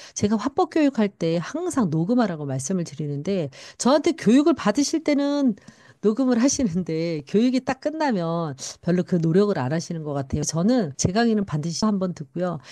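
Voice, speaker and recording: In a dark, mellow tone, a woman speaks at a medium pitch with very wide pitch swings, over a quiet background. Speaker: network marketing speech coach. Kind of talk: lecture-style talk. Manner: fast.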